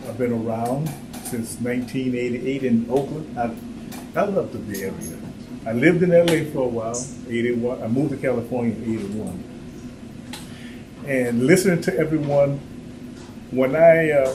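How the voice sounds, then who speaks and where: A man at a moderate pace with long, frequent pauses and ordinary pitch variation, amid noticeable background noise and audible room echo. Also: medium pitch for a man. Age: 70s. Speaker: workshop speaker. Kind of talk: personal talk to audience.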